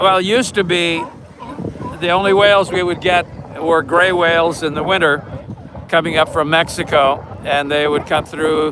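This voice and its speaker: Noticeable background noise sits under the speech. Long, frequent pauses break up its moderate pace. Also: man, high pitch for a man, fairly even intonation. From Serbia. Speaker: marine mammal volunteer. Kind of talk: casual chat. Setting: outdoors.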